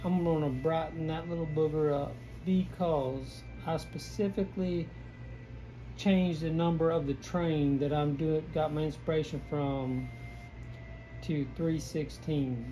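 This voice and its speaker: A man in an American accent at a fairly slow pace, long, frequent pauses, and audible room echo. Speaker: painter. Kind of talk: painting tutorial. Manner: casual, rambling with many false starts.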